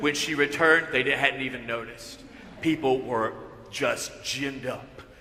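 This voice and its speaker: A man with a Southern US accent speaks at a moderate pace. Room echo is audible, along with noticeable background noise. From US South, northwest Georgia. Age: 60s. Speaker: pastor. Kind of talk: sermon.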